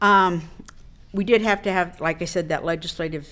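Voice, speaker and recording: Very clean recording, silent background. A woman speaks at a fairly quick pace with a Midwestern American accent. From Wichita, Kansas. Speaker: state insurance commissioner. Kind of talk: public speech at a club luncheon.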